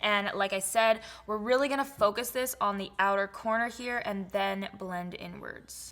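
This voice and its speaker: Fairly even intonation from a woman speaking at medium pitch. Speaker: beauty vlogger. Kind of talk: makeup tutorial. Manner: casual, filler-heavy; stumbling speech.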